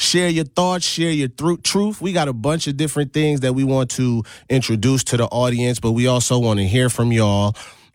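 Few pauses break the moderate pace of a man with an American accent, a medium pitch and fairly even intonation. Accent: American with a slight Caribbean lilt.

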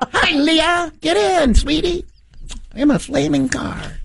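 The delivery is fairly slow. It is done in a put-on character voice. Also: woman, high pitch for a woman. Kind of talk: impression, comedic. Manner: campy, exaggerated, friendly.

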